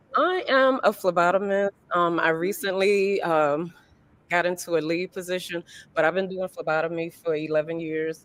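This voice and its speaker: A woman speaks at a moderate pace with fairly low pitch and fairly even intonation. Noticeable background noise runs under her voice. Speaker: phlebotomist, dating show contestant. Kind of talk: casual interview. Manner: halting, many filler ums.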